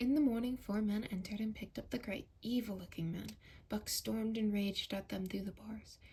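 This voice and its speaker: A soft-spoken, somewhat breathy woman at a medium pitch, fairly quick in pace, with ordinary pitch variation. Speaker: ASMR creator. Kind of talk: ASMR audiobook reading.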